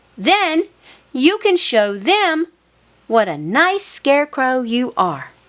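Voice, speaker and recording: In a put-on character voice, a squeaky, gentle tone moves at a very slow pace through very wide pitch swings. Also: woman, high pitch for a woman. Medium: read story. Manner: patient, gentle.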